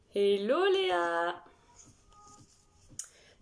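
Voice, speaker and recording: A woman speaks with very wide pitch swings. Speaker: makeup artist and live streamer. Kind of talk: makeup tutorial live stream. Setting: live stream with viewers chatting. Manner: halting.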